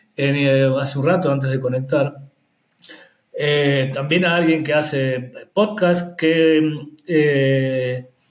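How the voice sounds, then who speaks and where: In a room with audible echo, a man talks at a very slow pace with ordinary pitch variation. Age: 60s. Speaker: HIV peer educator and activist. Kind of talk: interview.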